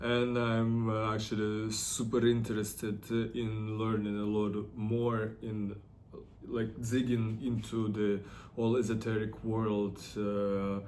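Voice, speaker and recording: Over noticeable background noise and audible room echo, a man speaks very slowly in a flat, monotone way. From Russia, Ufa (Bashkortostan). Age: 30s. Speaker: artist and model. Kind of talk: personal vlog monologue. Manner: halting, many fillers.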